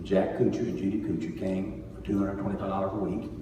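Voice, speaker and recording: A man's fairly low voice at a very fast pace, with noticeable background noise and audible room echo. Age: 60s. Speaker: pastor. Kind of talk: church report speech.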